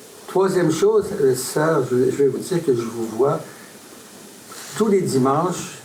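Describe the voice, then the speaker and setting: A fairly high-pitched man's voice at a very slow pace, lively in intonation, with long, frequent pauses, audible room echo and noticeable background noise. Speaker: audience member. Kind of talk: question from audience.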